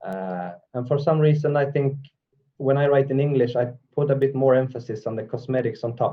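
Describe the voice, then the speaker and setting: A somewhat breathy man with a Swedish accent, medium in pitch, at a fairly quick pace. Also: ordinary pitch variation. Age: 40s. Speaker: metal vocalist. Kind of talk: interview.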